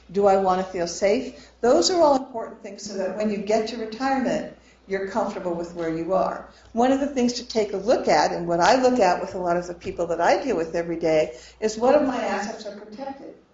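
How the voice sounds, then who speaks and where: Lively intonation from a woman at medium pitch, a fairly quick pace, big swings in loudness, noticeable background noise, and audible room echo. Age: 60s. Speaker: financial planner. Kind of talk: lecture.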